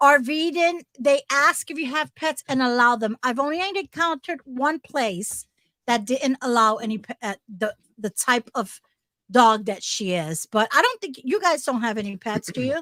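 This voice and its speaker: In a New Jersey accent, a woman uses a raised, projected voice with a high pitch and very wide pitch swings, her tone bright and sharp. She keeps a moderate pace, and the sound is dry and close with no echo. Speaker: RV lifestyle channel co-host. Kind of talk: casual chat.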